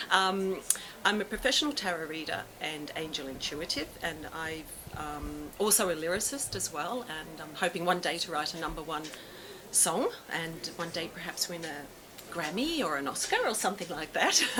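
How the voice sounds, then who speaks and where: Amid noticeable background noise and audible room echo, a woman with a fairly low pitch speaks at a moderate pace with ordinary pitch variation. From Australia, Melbourne. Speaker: tarot reader and author. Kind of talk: public talk. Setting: talk with live audience. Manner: hesitant, many fillers.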